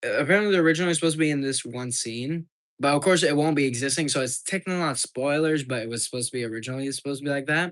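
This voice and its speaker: A man talks very fast in a fairly high voice. The pitch moves with ordinary variation. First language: French or English, bilingual. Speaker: livestreamer and amateur video creator. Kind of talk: casual livestream chat. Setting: livestream. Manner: halting, with frequent restarts.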